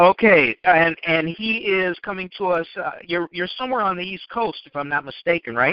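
A man with a high pitch talks at a moderate pace with hardly any pauses. His loudness swings widely while his pitch varies in an ordinary way. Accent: American. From US Midwest, Chicago. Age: old. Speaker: podcast host and author. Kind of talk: interview. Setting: phone call.

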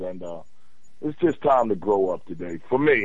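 A man's normal speaking voice, a normal speaking voice with lively intonation at a moderate pace. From Philadelphia. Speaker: caller. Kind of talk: casual call-in conversation. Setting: phone call.

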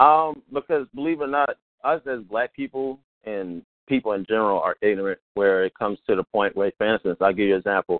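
Quick-paced and lively in intonation, a man with an American accent and a normal speaking voice talks at a fairly low pitch. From Baltimore, US. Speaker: podcaster. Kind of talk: casual chat.

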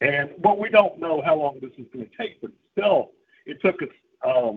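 A man's somewhat breathy voice at a moderate pace with lively intonation. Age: 60s. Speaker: regular participant. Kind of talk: casual chat.

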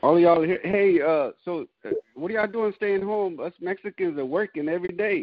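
This man has a high pitch that varies in an ordinary way. His pace is moderate. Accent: Southern US. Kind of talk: casual group video chat.

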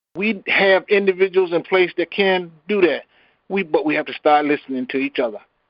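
A high-pitched man with an American accent at a fairly quick pace. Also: ordinary pitch variation. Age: old. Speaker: community member. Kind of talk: question and comments on a call. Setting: conference call. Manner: halting.

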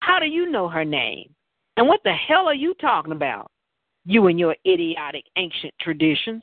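In a Southern US accent, a woman talks at a moderate pace and medium pitch. Her pitch swings very widely. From Tennessee, US South. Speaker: talk show host and novelist. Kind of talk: casual talk show chat; reading aloud from own novel.

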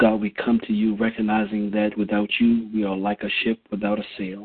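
A man's fairly low pitch in a solemn tone, with monotone, flat intonation at a moderate pace. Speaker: prayer call participant. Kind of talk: fervent prayer of intercession. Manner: solemn, fervent.

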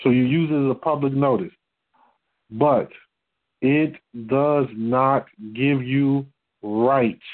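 Speaking at a very slow pace, the voice keeps very even loudness and fairly even intonation, broken by long, frequent pauses. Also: man, fairly high pitch for a man. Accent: American. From Detroit, Michigan. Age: 40s. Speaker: religious teacher on a call-in fellowship line. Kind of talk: teaching talk on a conference call.

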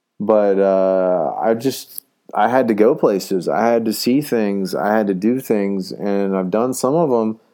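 A man with a normal speaking voice talks at a fairly slow pace. His pitch is fairly low. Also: ordinary pitch variation. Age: 30s. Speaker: podcaster and aspiring comedian. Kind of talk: solo monologue podcast. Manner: casual, rambling with repetitions.

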